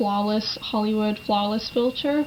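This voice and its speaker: Noticeable background noise sits behind a woman speaking at a moderate pace and a fairly high pitch. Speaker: beauty vlogger. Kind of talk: tutorial. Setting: home, at vanity. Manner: casual, chatty.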